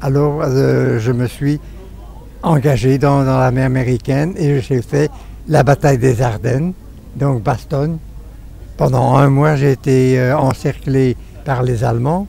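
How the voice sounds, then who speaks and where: At a very slow pace with long, frequent pauses, a man speaks at a medium pitch with fairly even intonation and very even loudness. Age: 80s+. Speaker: war veteran. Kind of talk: interview testimony. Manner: halting.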